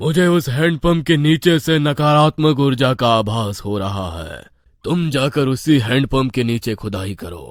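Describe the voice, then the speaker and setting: In a cartoonish character voice, a man speaks at medium pitch and a moderate pace with a solemn tone and big swings in loudness. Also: lively intonation. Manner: solemn, authoritative.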